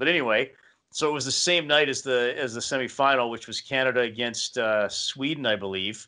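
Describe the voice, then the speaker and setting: Over a quiet background, a man talks fairly quickly in a bright, sharp tone. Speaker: radio guest. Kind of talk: interview answer, anecdote. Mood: amused storytelling. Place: home room. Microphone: studio mic.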